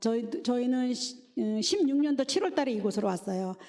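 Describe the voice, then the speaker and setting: A woman speaks in a fairly high pitch with an unremarkable speaking voice. Her pace is moderate. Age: 60s. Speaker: church deaconess giving testimony. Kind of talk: testimony.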